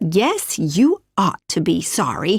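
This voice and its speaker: A put-on character voice, female-sounding and at medium pitch, comes out as a growl. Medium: read story. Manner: homely, kind.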